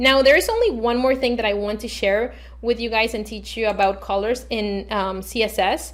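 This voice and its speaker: Her fairly high voice carries vocal fry and fairly even intonation. The woman talks at a moderate pace. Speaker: web development tutor. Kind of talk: screen-recorded coding tutorial. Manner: frequent fillers.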